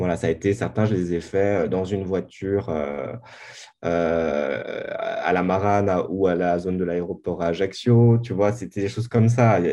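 A man speaks at a fairly slow pace in a very deep, low voice. His pitch varies in an ordinary way. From Corsica, Bastia. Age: 30s. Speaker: documentary filmmaker. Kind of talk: podcast interview. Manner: halting, many repetitions.

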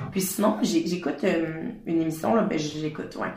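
A woman with a Quebec accent speaks very slowly at a fairly low pitch, with noticeable background noise and audible room echo. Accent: Québécois French. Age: 20s. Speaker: fashion brand founder. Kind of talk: casual interview. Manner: hesitant, many fillers.

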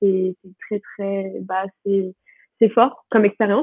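A woman talks at a moderate pace. Her pitch sits in the medium range. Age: 20s. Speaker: student. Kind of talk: casual chat. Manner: halting. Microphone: poor sound quality.

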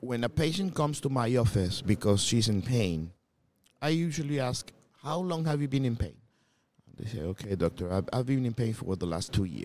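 At a moderate pace, a man speaks in a medium-pitched voice that swings very widely in pitch. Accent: Spanish. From Colombia. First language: Spanish. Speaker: gynecologist. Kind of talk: interview.

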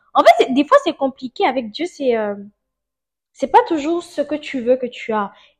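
A woman speaks at a fairly slow pace in a high voice with lively intonation. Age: 20s. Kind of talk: testimony. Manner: casual, laughs often.

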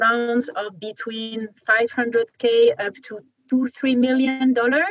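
In a French accent, a woman with a fairly high pitch and ordinary pitch variation speaks at a very slow pace, the sound dry and close with no echo. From France. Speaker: venture capital investor. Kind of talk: interview. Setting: video call.

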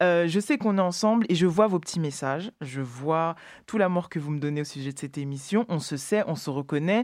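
At a moderate pace, a woman with a fairly low pitch speaks with lively intonation in a very clean recording with a silent background. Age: 30s. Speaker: radio show host. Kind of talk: radio show presenting. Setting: radio studio. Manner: halting, many repetitions.

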